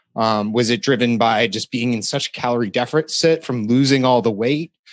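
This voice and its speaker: A man talks at a fairly quick pace in an unremarkable speaking voice. His pitch is medium, with ordinary pitch variation. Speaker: podcast host. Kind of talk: interview question.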